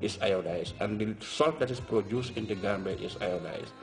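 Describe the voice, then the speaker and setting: Faint music plays in the background as a man talks at a fairly quick pace. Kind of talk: interview answer. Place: office.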